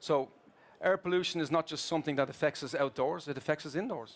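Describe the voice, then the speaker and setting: Very fast and with ordinary pitch variation, the speech comes in an Irish accent. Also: man. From Ireland. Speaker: corporate procurement executive. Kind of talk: keynote presentation. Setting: stage with audience at trade fair. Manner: hesitant with filler words.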